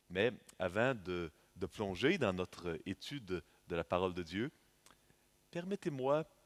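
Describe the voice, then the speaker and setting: A man speaks at a very slow pace with a Canadian French accent, his pitch very deep and low. The sound is dry and close, with no echo. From Canada. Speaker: visiting preacher. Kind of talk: sermon. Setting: church. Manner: halting with frequent fillers.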